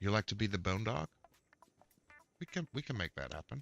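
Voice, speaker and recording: Music plays in the background as a man speaks at a fairly low pitch with lively intonation, the sound dry and close with no echo. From Netherlands. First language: Dutch. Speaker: gaming streamer. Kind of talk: live gameplay stream chat. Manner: casual, halting with fillers.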